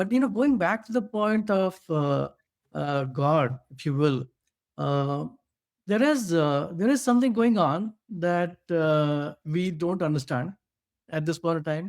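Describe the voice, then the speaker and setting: A man with an Indian accent speaks at a high pitch and a fairly slow pace with lively intonation, in a very clean recording with a silent background. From India (Bhilai). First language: Hindi. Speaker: podcast co-host. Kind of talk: casual discussion. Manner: halting, many fillers.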